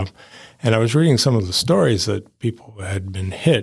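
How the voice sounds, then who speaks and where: A somewhat breathy man with an American accent in a very clean recording with a silent background. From Massachusetts. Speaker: lightning strike survivor. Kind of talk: interview, personal story. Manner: hesitant, many fillers.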